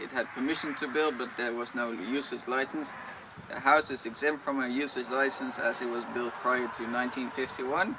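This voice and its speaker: A man's medium-pitched voice with a Dutch accent and fairly even intonation, moderate pace, noticeable background noise, and audible room echo. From Netherlands. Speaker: vlogger. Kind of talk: Q&A talk to camera.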